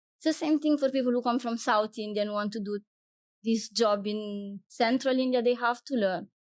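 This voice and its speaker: The speaker has an Italian accent and ordinary pitch variation. The pace is moderate. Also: woman. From Italy. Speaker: wildlife guide and photographer. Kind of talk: interview conversation.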